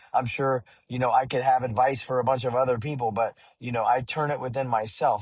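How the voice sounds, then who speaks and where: The speech comes at a very fast pace, somewhat breathy, with fairly even intonation. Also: man. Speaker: musician. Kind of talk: vlog monologue. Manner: hesitant, many fillers.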